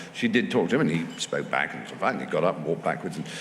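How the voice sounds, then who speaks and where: An English accent against noticeable background noise. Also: man. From England. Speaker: comedian, actor, writer. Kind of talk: live festival talk, anecdote.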